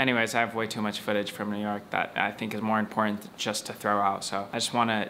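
A man at fairly low pitch talks very fast with hardly any pauses and monotone, flat intonation over light background noise. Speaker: travel vlogger. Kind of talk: casual vlog chat. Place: home room. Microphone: phone near.

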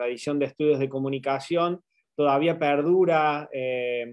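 Speaking with an Argentine interior accent, a man uses a fairly high pitch and ordinary pitch variation. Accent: Argentine Spanish, from the interior.

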